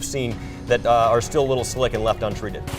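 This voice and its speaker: Over music in the background, a man with medium pitch talks at a fairly quick pace and fairly even intonation. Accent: American. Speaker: news anchor and reporter; morning news anchor. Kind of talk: TV news anchor delivery.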